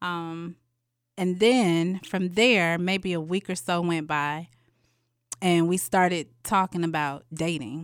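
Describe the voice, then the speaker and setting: In a very clean recording with a silent background, a woman with a fairly low voice speaks at a very slow pace with ordinary pitch variation. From Atlanta, Georgia. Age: 30s. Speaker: guest sharing dating story. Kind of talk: casual storytelling interview.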